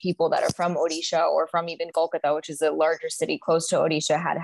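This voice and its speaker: Speaking very fast, a woman is heard in a dry recording with no echo against a quiet background. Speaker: actress, guest. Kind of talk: interview answer. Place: home room. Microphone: video call.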